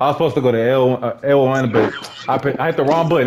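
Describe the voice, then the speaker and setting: Light background noise sits beneath a man's speech. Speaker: gaming YouTuber. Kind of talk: angry rant, trash-talking while playing. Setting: gaming commentary, online game chat. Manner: loud, animated, repetitive shouting. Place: home room.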